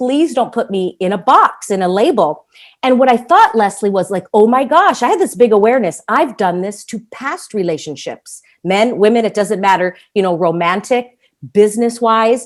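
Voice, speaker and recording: Her voice is fairly high-pitched, with lively intonation and an enthusiastic, animated tone. The woman keeps a moderate pace. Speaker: entrepreneur, podcast guest. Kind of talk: interview conversation.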